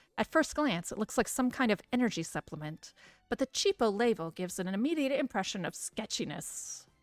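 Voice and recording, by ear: The intonation here moves in a lively way. It is reading aloud in a natural voice.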